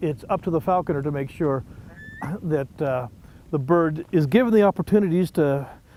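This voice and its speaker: Noticeable background noise under a man's fairly high-pitched, moderate-paced voice with ordinary pitch variation. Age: 60s. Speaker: wildlife rescuer and falconer. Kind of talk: interview answer.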